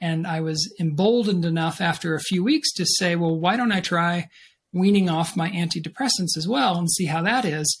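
The pitch variation is ordinary. The speech moves at a moderate pace. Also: man, high pitch for a man. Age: 50s. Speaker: author; guest. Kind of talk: interview. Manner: halting, many fillers. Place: home room.

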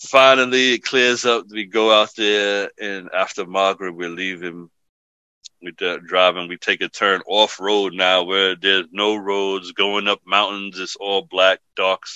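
With a New York accent, a man talks at a fairly slow pace and a fairly low pitch, his bright, sharp tone and fairly even intonation captured with a dry, close sound with no echo. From The Bronx, New York. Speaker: imam. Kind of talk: podcast interview answer, storytelling. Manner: casual.

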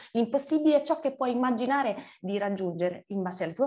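A woman with a dark, mellow, somewhat breathy tone speaks at a very fast pace over a quiet background. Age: 40s. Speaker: writer; interviewee. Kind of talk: interview. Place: home room. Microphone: video call.

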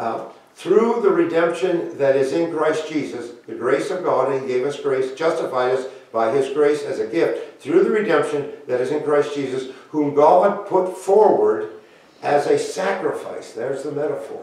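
A man talks at a fairly slow pace with a fairly high pitch and a slightly mellow tone. His intonation is lively, and strong room echo surrounds him.

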